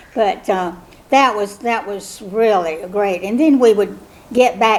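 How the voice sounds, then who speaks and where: In a South Carolina accent, a woman speaks very slowly with ordinary pitch variation. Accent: Southern US (South Carolina). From South Carolina (Cameron, rural Lowcountry). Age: 70s. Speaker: mother of the year honoree. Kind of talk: oral history interview. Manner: hesitant, many fillers.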